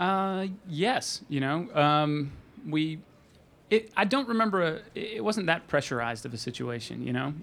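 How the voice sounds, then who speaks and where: With a fairly high pitch and very wide pitch swings, a man talks at a fairly slow pace. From Arkansas, suburbs of Little Rock. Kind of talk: panel Q&A before audience. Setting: stage with audience.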